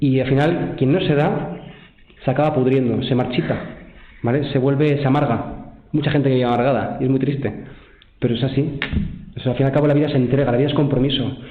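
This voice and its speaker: Amid audible room echo, a man with a fairly high pitch talks at a very fast pace with long, frequent pauses and very even loudness. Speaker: seminarian giving vocation testimony. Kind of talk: testimony. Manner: animated.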